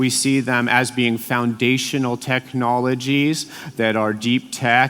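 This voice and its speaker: A man talks at a fairly slow pace with medium pitch and fairly even intonation. Noticeable background noise runs beneath him. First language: Latvian. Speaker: EU policy official. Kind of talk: conference speech. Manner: hesitant fillers.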